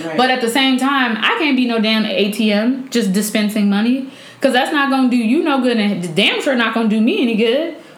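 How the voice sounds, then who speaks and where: A woman speaks at a fairly high pitch in an animated tone. Noticeable background noise and audible room echo fill the recording. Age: 20s. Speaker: podcast host. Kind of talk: casual chat.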